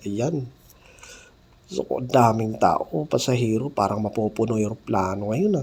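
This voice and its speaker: Somewhat breathy, the voice belongs to a man. Lively intonation runs through his speech. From Mindanao, South Cotabato (General Santos area). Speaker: vlogger. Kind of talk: travel vlog narration. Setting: airport, airplane and taxi on the go.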